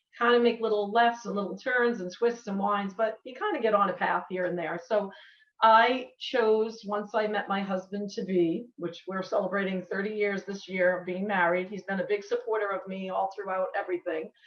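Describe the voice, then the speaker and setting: A woman speaks with an American accent at a moderate pace. Her pitch is medium and her intonation fairly even. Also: hardly any pauses. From US Northeast, Massachusetts. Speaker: nurse. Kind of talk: online talk.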